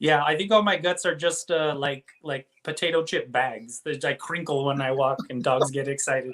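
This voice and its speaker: Speaking with an American accent, a man uses a plain, everyday voice at a fairly high pitch for a man. He keeps a moderate pace with ordinary pitch variation and hardly any pauses. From Texas, El Paso. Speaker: illustrator and comic book artist. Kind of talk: casual chat.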